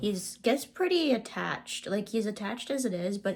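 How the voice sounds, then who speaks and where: A woman's voice with vocal fry. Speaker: spiritual vlogger. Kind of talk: casual monologue. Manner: soft-spoken; halting.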